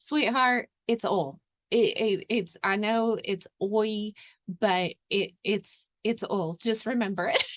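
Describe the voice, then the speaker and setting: In a dry, close sound with no echo, a woman with a Southern US accent talks at a very slow pace in a fairly high pitch, with ordinary pitch variation and very even loudness. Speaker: podcast host, homesteading. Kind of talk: podcast interview, casual chat.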